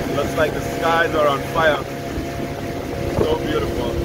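Loud background noise fills the recording, and the sound is dry with no echo. The speech moves at a very slow pace. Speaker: travel vlogger. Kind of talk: casual vlog chat. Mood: awed, admiring. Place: boat. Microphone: phone near.

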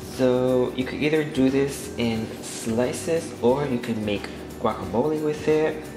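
A man speaks fairly slowly while music runs in the background. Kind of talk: tutorial. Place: kitchen.

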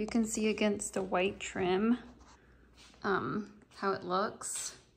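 The woman's intonation is fairly even. She talks at a fairly slow pace. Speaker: mom vlogger. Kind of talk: casual vlog chat. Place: home room. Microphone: phone near.

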